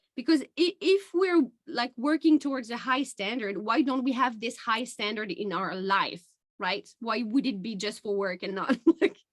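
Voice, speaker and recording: Someone with a non-native accent speaks at a moderate pace. The pitch swings very widely. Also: woman, high pitch for a woman. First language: not English. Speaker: podcast host and life coach. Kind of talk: casual interview chat.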